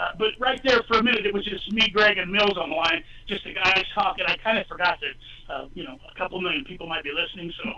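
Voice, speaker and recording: A man's raised, projected voice, high in pitch, very fast with hardly any pauses, ordinary pitch variation and big swings in loudness, over noticeable background noise. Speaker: candidate for lieutenant governor. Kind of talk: call-in talk radio. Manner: animated.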